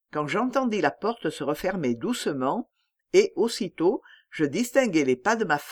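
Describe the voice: The speaker does plain reading aloud, and the background is quiet.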